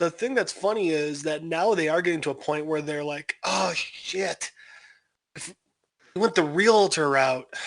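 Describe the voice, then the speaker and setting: This high-pitched man talks fairly slowly, his pitch varying in an ordinary way. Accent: slight Chicago. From Chicago, US Midwest. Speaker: podcast co-host. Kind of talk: casual chat.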